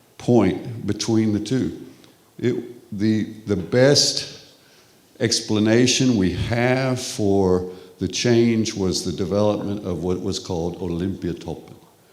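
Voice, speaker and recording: A man with a Texas accent speaks at a very slow pace, at medium pitch with ordinary pitch variation. Audible room echo and noticeable background noise fill the recording. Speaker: professor. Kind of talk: lecture.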